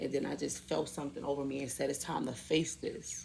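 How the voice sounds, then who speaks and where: Over music in the background, a woman speaks at a moderate pace in a room with audible echo. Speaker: spiritual healing vlogger. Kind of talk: personal testimony monologue. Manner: emotional.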